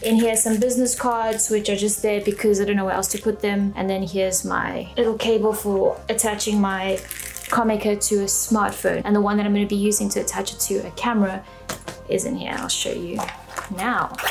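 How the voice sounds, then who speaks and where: A woman's fairly quick, flat, monotone delivery over background music. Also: medium pitch for a woman. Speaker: photography and video YouTuber. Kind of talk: gear show-and-tell vlog.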